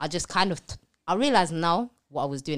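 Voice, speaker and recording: The recording is very clean, with a silent background. A woman talks with ordinary pitch variation. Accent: London. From East London, England. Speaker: public speaker and entrepreneur. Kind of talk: casual interview chat.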